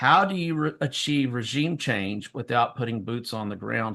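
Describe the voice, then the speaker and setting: A man with a Southern US accent speaks in a bright, sharp tone with lively intonation against a quiet background. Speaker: political talk show co-host. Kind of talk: political commentary. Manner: hesitant, many fillers.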